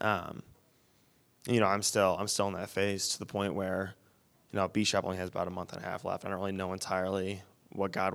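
The speech moves at a fairly quick pace in a monotone, flat intonation, captured in a very clean recording with a silent background. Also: man. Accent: Michigan. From Wyoming, Michigan (Grand Rapids area). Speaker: missions student. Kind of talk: interview on stage. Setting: church.

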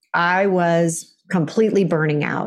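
A woman speaks at a fairly slow pace with a fairly low pitch and a Californian accent. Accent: Californian American. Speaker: author and coach. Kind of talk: interview.

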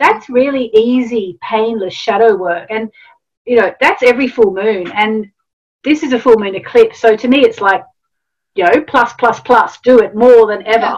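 A woman with an Australian accent speaks at a moderate pace in a fairly high voice, her pitch moving in an ordinary way. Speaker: astrologer and author. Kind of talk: interview.

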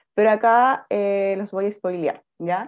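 Against a quiet background, a woman speaks in an unremarkable speaking voice at medium pitch with fairly even intonation. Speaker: foundation founder. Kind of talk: interview.

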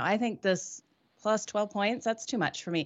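A woman talks in an unremarkable speaking voice, medium in pitch, varying it in an ordinary way. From Australia, moved to Canada at 14. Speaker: sports handicapper panelist. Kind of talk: casual chat.

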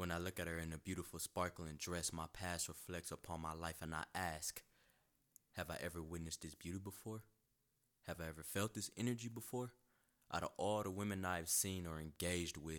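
Long, frequent pauses break up a man's very deep, low voice, which keeps a fairly even intonation. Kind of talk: poem-like spoken word, audiobook poetry reading. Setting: audiobook with music. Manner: measured, rhythmic, reflective, with a repeated refrain; sensual, dreamy and intimate.

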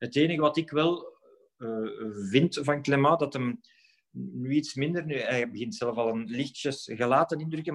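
A man with an ordinary speaking voice talks at a fairly slow pace, his fairly high pitch showing ordinary variation. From Belgium, Flemish Brabant. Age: 40s. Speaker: former professional footballer. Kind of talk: podcast interview.

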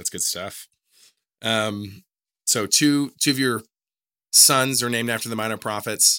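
On a very clean recording with a silent background, a man speaks at a medium pitch with fairly even intonation. His pace is fairly slow, broken by long, frequent pauses. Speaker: podcast host. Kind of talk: interview, podcast discussion.

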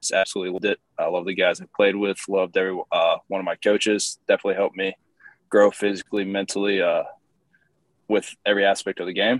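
This man has a Midwestern American accent. He talks at a very fast pace. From Indiana, US Midwest. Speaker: professional baseball pitcher. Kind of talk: interview. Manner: casual, filler-heavy.

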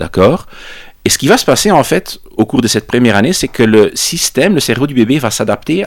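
Speaking with a Dutch accent, a man keeps a moderate pace at medium pitch while his voice makes very wide pitch swings. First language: Dutch (speaking French). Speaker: psychology professor. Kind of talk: interview, explaining research. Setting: studio recording in Brussels.

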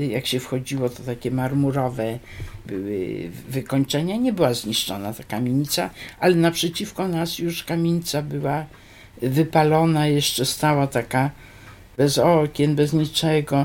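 At a moderate pace, a woman with a very deep, low pitch speaks with lively intonation. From Poland, Wrocław (from age 10; born Biała Podlaska). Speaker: retired dentist sharing memories. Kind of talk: oral history interview.

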